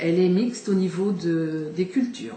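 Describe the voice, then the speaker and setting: With lively intonation and a fairly low pitch, a woman speaks amid noticeable background noise and audible room echo. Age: 60s. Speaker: local election candidate. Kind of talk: campaign statement. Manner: halting, many hesitations.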